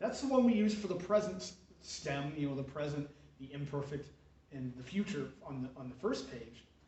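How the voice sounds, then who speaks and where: Audible room echo colors the recording. The voice moves with lively intonation. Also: man. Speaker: Latin teacher. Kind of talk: tutorial. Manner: hesitant, many fillers.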